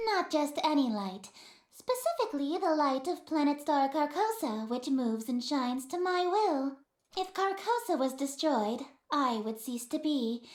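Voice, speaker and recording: A put-on character voice, high-pitched, at a moderate pace. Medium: solo performance. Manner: grandly theatrical, condescending, calls him dearest.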